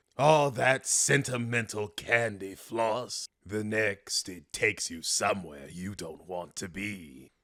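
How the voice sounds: Using a put-on character voice, a man speaks fairly slowly at a fairly low pitch with hardly any pauses. The recording is very clean, with a silent background.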